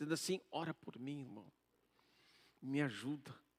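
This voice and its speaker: Soft-spoken, with a dry, close sound and no echo. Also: man. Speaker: pastor. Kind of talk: sermon.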